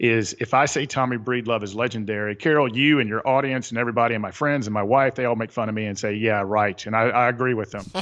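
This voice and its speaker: Against a quiet background, a man with a Southern US accent talks at a very fast pace in a medium pitch, barely pausing. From US South, Atlanta area. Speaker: author and retreat leader. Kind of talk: podcast interview. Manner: animated.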